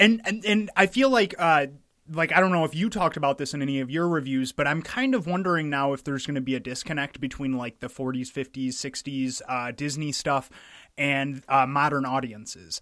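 This man has a fairly high pitch and a bright, sharp tone, with ordinary pitch variation. He talks at a fairly quick pace on a very clean recording with a silent background. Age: 20s. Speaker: film podcast co-host. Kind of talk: casual chat.

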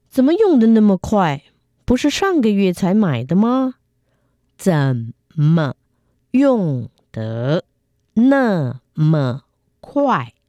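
A woman's dark, mellow voice with very wide pitch swings and very even loudness, very slow with long, frequent pauses, on a very clean recording against a silent background. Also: medium pitch for a woman, dry, close sound with no echo. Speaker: Chinese language teacher. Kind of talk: reading aloud. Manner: slow, clear enunciation.

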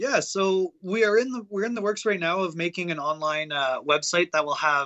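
A man with an unremarkable speaking voice, ordinary pitch variation, and a fairly quick pace. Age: 20s. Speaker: metal band musician. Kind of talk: casual interview.

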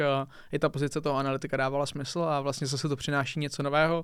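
A man's fairly high, monotone voice with flat intonation, at a very fast pace, in a very clean recording with a silent background. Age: 20s. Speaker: esports commentator and analyst. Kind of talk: casual chat.

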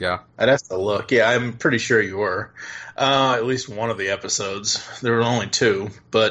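Noticeable background noise sits under a man speaking at a moderate pace, his medium-pitched voice fairly even in intonation. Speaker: podcast host. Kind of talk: casual chat.

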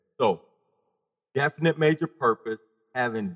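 A man at a fairly slow pace, ordinary pitch variation, and a dry, close sound without echo. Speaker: guest, mental health advocate. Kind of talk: interview conversation.

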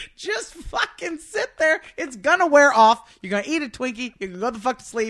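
A high-pitched woman at a moderate pace, hardly pausing, with very wide pitch swings and big swings in loudness. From Louisiana (Lake Charles). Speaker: comedian. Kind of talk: casual chat. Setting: hotel room.

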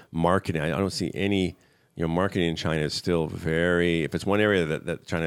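At a very fast pace, a man with a very deep, low pitch speaks with fairly even intonation on a very clean recording with a silent background. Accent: American. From USA. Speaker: tech company co-founder and CEO. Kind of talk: interview.

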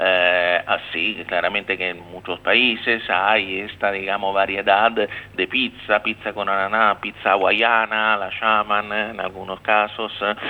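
A man with an Italian accent speaks at a fairly low pitch in a monotone, flat way. His pace is fairly slow, with hardly any pauses. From Rome, Italy. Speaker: consul general. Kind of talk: radio interview. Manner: halting, hesitant.

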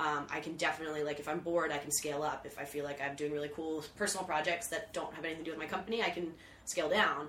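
Over noticeable background noise, a woman talks at a very fast pace with a very deep, low pitch and fairly even intonation. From US, Philadelphia. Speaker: events organizer and business owner. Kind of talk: casual chat.

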